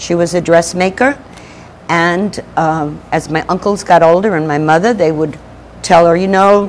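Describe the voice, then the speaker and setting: Here is a woman with a fairly low pitch and a plain, everyday voice. She talks at a moderate pace with ordinary pitch variation. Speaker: spiritual minister / speaker. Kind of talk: spiritual talk to an audience.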